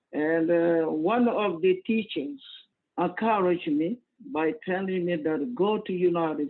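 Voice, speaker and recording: Speaking at a fairly slow pace, a man with a West African accent has a high pitch. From Cote d'Ivoire. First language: Mandinka. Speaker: imam. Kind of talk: interview. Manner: halting.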